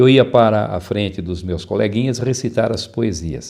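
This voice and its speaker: At a moderate pace, a man with a dark, mellow tone speaks with ordinary pitch variation. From interior of São Paulo state, Brazil (Araraquara). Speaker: public speaking teacher and author. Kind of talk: interview.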